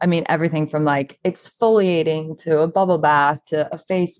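A woman with an American accent speaks at a fairly slow pace in a very deep, low voice, her intonation fairly even against a quiet background. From US South, Charleston, South Carolina. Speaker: model and beauty brand founder. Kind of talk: podcast interview.

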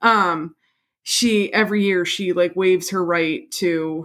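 Recorded very cleanly against a silent background, a woman speaks in a plain, everyday voice at a fairly low pitch with ordinary pitch variation. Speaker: podcast host. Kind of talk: casual chat with scripted true-crime narration. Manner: joking, bantering.

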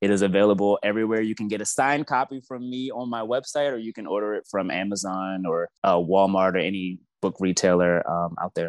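A man with an American accent speaks in a normal speaking voice at a fairly quick pace, hardly pausing, his pitch fairly low with ordinary variation, and the sound dry and close with no echo. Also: quiet background. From Baltimore, Maryland. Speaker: author and caregiver. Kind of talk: interview, personal story.

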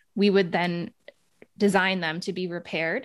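On a very clean recording with a silent background, a woman with an American accent speaks at a medium pitch with fairly even intonation. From United States. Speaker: sustainability researcher and podcast host. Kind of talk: interview conversation.

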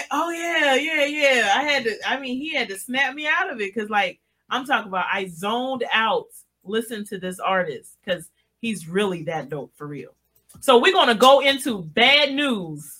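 Over music in the background, a woman with a high pitch speaks at a moderate pace, her loudness swinging widely and her pitch swinging very widely. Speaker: radio host. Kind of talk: casual radio chat. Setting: radio studio.

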